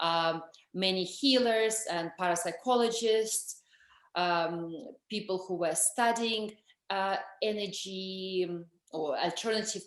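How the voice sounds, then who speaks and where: A woman with a strong Russian accent talks fairly slowly at a medium pitch with ordinary pitch variation. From Russia, Moscow. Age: 40s. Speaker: energy healer and author. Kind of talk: interview. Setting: video call.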